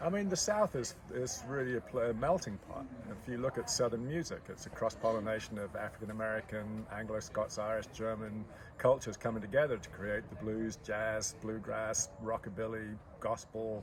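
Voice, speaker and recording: A man speaks in an ordinary speaking voice at a medium pitch. His pace is moderate and his pitch varies in an ordinary way. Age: 60s. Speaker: potter. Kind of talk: interview.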